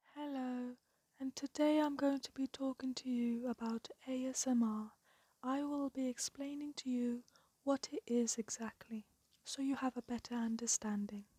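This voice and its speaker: The voice is quiet and moves at a moderate pace. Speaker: ASMR creator. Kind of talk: ASMR explainer talk. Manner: calm, quiet.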